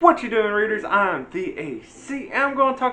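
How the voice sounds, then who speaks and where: Projecting loudly with an American accent, a man swings his pitch very widely in a bright, sharp tone. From US South, Virginia small town. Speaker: book reviewer, YouTuber. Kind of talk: casual book review. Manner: casual, hesitant with fillers.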